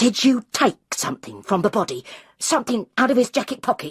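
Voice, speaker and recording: A female-sounding, put-on character voice runs at a fairly quick pace with a fairly high pitch. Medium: read story. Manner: blunt, pushy, secretive.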